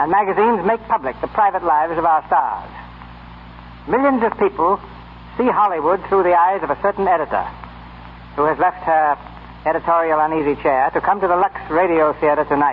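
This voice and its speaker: A man's high-pitched voice at a fairly quick pace with long, frequent pauses, ordinary pitch variation and very even loudness, amid noticeable background noise. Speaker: radio show host. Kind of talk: radio program host introduction. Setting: live studio audience broadcast.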